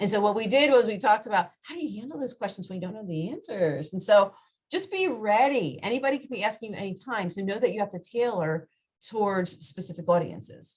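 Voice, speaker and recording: A woman talks at a very fast pace with lively intonation and big swings in loudness. Her voice is somewhat breathy. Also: medium pitch for a woman. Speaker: career counselor. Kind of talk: workshop presentation. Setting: video call.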